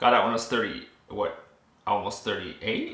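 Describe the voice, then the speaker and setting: A man speaks at a moderate speed, his voice carrying audible room echo. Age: 30s. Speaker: military veteran vlogger. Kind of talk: casual vlog monologue. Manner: halting.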